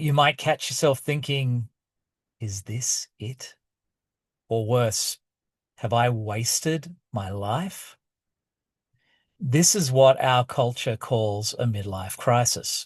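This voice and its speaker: A man with an Australian accent speaks at a very slow pace and medium pitch, somewhat breathy, with ordinary pitch variation. Long, frequent pauses break it up against a quiet background. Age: 50s. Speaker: podcaster and author. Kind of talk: casual monologue and reading from own book. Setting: outdoors at night, outside basketball practice. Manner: halting, many fillers.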